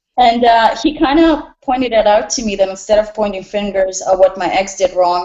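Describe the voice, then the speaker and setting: A woman with a slight Russian accent speaks at a moderate pace, her medium pitch showing ordinary variation. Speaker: restaurant bartender and nutritionist. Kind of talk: personal introduction in group call.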